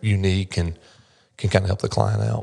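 A man with a North Carolina accent speaks in a fairly low pitch with monotone, flat intonation against a quiet background. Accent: US Southern (North Carolina). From North Carolina, Mocksville. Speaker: commercial loan officer, former police officer. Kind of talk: casual interview. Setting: studio.

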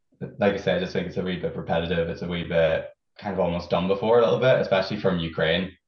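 A man with a Northern Irish accent, very deep and low in pitch, at a very fast pace with fairly even intonation. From Northern Ireland, County Fermanagh. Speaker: Eurovision superfan. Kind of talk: casual chat. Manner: halting.

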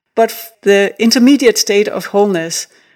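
A woman speaks in a Danish accent. Her pitch varies in an ordinary way. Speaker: artist. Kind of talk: interview. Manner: animated.

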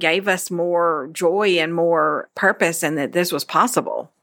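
This woman has a Memphis accent and a fairly low pitch with a bright, sharp tone. The recording is very clean, with a silent background. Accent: US Southern (Memphis). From Memphis, Tennessee. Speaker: church women's ministry director. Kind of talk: interview.

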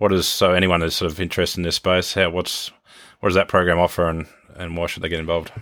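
A man with an Australian accent speaks very fast in a very deep, low voice, his intonation monotone and flat, on a very clean recording with a silent background. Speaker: podcast host and agribusiness CEO. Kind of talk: casual interview. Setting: on location at a farm in New Zealand.

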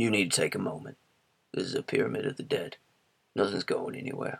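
A put-on character voice from a man at medium pitch, delivered at a very fast pace. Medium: read story. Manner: firm, steady.

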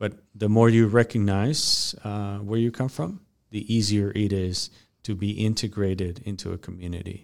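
With a Mexican accent, a man speaks in a fairly low pitch and fairly even intonation. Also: moderate pace. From Mexico. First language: Spanish. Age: 30s. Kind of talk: podcast interview. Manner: halting.

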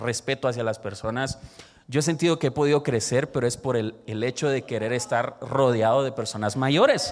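Here is a normal speaking voice delivered at a moderate pace. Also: man. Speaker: church youth leader. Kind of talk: sermon-style talk.

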